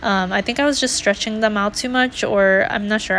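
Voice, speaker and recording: Noticeable background noise accompanies speech delivered at a fairly quick pace. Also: woman. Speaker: planner YouTuber. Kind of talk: casual voiceover narration. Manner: monotone.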